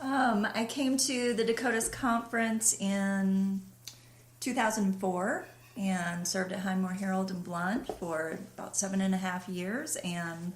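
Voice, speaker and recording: A woman speaks softly with a Southern US accent. Room echo is audible. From US South, western North Carolina. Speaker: pastor. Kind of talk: interview conversation. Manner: quiet, soft-spoken.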